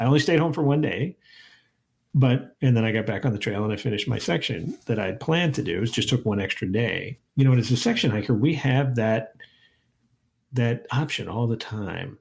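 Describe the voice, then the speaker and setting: A somewhat breathy man at medium pitch talks at a fairly quick pace with ordinary pitch variation. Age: 60s. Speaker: historian, professor and hiking podcast host. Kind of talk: casual interview chat. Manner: halting, many fillers and restarts.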